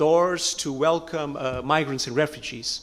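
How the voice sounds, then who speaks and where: A fairly high-pitched male voice with ordinary pitch variation. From Portugal. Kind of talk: audience question at panel. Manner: halting, hesitant.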